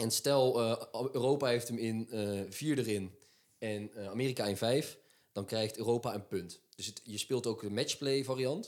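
Here a man talks at a fairly slow pace and a medium pitch. His intonation stays fairly even. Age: 20s. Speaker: podcast co-host, sports. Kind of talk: casual chat.

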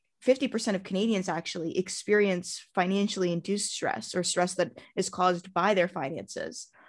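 A woman with an ordinary speaking voice and medium pitch talks at a moderate pace with hardly any pauses. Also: ordinary pitch variation, quiet background. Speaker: podcast co-host, yoga teacher. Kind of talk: casual interview.

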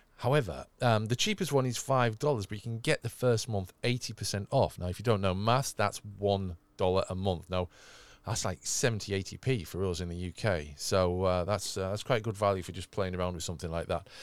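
In a very clean recording with a silent background, the speaker has a slight northern English accent. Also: man, fairly low pitch for a man, ordinary pitch variation, fairly quick pace. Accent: slightly moderated northern English. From northern England. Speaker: tech podcast host. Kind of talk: casual chat. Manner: animated.

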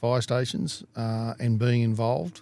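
Dark and mellow in tone, a man speaks with an Australian accent. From Australia, Blue Mountains NSW. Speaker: retired firefighter. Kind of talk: casual interview.

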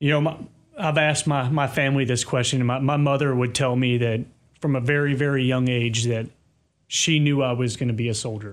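An unremarkable speaking voice: a man with an American accent at medium pitch. He talks at a fairly quick pace with fairly even intonation and very even loudness. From US South, Kentucky. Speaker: army sergeant major. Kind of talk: interview.

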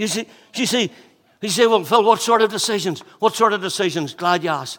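A man speaks at a fairly quick pace with a Northern Irish accent. The recording is very clean, with a silent background. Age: 50s. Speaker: pastor. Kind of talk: sermon. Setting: church.

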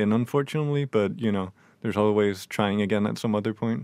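A man with a Danish accent speaks at a fairly low pitch with ordinary variation, the sound dry and close with no echo, on a very clean recording with a silent background. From Denmark. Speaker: new radio presenter. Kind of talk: casual radio chat.

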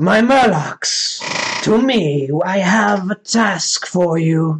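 Putting on a character voice, a man talks at a very slow pace and a high pitch. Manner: gobbling, turkey-like.

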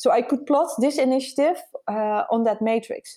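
A woman with a dark, mellow tone speaks at a fairly slow pace with lively intonation. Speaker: innovation consultant and founder. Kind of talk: interview conversation. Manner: hesitant, filler-heavy.

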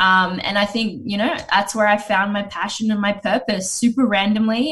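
Using a plain, everyday voice, a woman speaks at a fairly quick pace and a medium pitch with ordinary pitch variation. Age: 30s. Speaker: talent agency founder. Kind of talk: casual chat.

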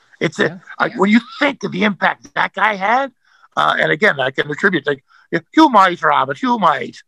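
A man speaks in a raised, projected voice at a high pitch. His tone is bright and sharp, with very wide pitch swings. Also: moderate pace, dry, close sound with no echo. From Canada. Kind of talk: casual chat.

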